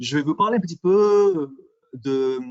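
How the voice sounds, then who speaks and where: A man with an English accent talks at a fairly slow pace, using ordinary pitch variation. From England. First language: English (speaking French). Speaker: microbiology industry specialist presenter. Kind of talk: webinar presentation. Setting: online webinar. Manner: halting, many fillers and repetitions.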